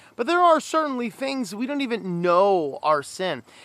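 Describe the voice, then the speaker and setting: In a very clean recording with a silent background, a man with an American accent uses a raised, projected voice with a bright, sharp tone. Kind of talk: devotional talk.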